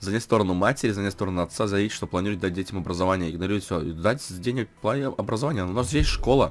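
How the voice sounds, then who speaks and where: Talking at a very fast pace with hardly any pauses, a man uses a fairly low pitch and ordinary pitch variation. His loudness shifts a lot. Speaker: gamer. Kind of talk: casual gameplay commentary. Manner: casual, chatty.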